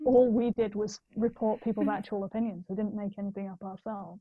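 A woman with a fairly high pitch speaks at a fairly quick pace in a somewhat breathy voice. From northeast England. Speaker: business founder. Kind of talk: casual chat.

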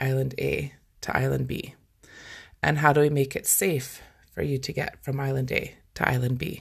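A woman with a Scottish accent and a very deep, low pitch, somewhat breathy, monotone and flat in intonation at a moderate pace, on a very clean recording with a silent background. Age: 40s. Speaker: life coach and podcast host. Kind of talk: solo podcast monologue. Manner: casual, conversational.

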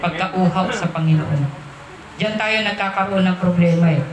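The delivery has an animated tone at a fairly slow pace, with noticeable background noise behind it. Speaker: preacher. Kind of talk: sermon. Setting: church. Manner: animated, preaching with call-and-response ("Amen?"); conversational, mixes Tagalog with English phrases.

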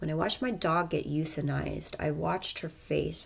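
The woman's voice sits very deep and low, with vocal fry. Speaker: faith livestreamer. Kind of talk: casual spiritual monologue. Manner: animated.

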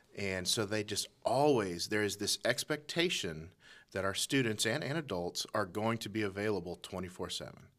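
A man with an ordinary speaking voice, fairly low in pitch, talks at a moderate pace with lively intonation. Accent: American. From Colorado, US. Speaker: assistant youth pastor. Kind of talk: interview.

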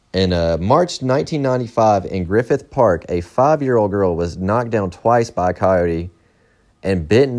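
A man with a fairly low pitch and an ordinary speaking voice talks at a moderate pace. His intonation is lively. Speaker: podcaster reading Wikipedia articles. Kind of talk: casual true-crime reading of a Wikipedia article, with profane asides. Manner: casual, irreverent.

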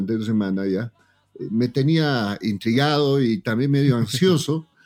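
A man's lively intonation at a moderate pace over music in the background. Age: 40s. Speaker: politician and TikToker. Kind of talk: casual chat. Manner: animated.

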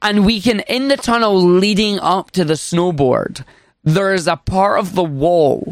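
In a Scottish accent, a man with a high pitch speaks very slowly with lively intonation. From Scotland. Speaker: speedrunner and streamer. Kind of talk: casual interview.

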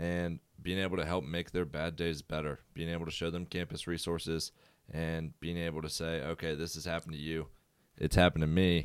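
A man with an American accent talks at a fairly quick pace in a very deep, low pitch. His intonation is monotone and flat, and the recording is very clean with a silent background. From Virginia, Prince George. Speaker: college student and resident assistant. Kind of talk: casual chat.

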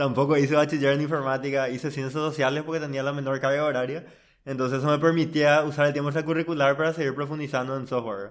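A man's fairly high voice at a very fast pace, in a monotone, flat intonation. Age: 20s. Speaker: software engineer. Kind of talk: casual interview.

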